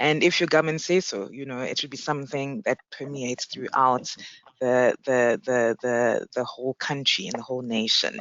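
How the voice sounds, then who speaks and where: Ordinary pitch variation marks this woman's speech in a South African accent. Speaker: payments executive, panelist. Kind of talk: panel discussion.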